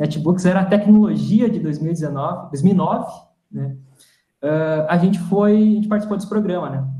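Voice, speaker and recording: A man with a high pitch talks at a fairly slow pace. His tone is dark and mellow, with ordinary pitch variation. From Rio Grande do Sul, Brazil. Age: 30s. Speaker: startup CEO, electrical engineer. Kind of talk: live interview. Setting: online live stream.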